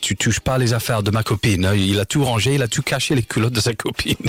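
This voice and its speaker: An English accent at a fairly quick pace with ordinary pitch variation, the sound dry and close with no echo under noticeable background noise. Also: man. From England, Leeds. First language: English (speaking French). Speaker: author and English teacher, litter-picking activist. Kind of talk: radio interview.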